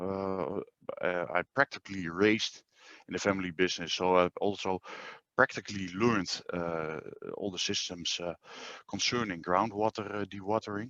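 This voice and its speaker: A man with a Dutch accent, fairly low in pitch, bright and sharp in tone, with ordinary pitch variation at a moderate pace, in a dry, close sound with no echo. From Netherlands. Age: 40s. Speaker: groundwater dewatering business owner. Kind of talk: webinar presentation. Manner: hesitant, many filler sounds.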